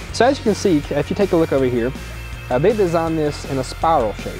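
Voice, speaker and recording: A man speaks at a very fast pace with clear music in the background. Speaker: presenter. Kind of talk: product tutorial. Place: garage. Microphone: lapel.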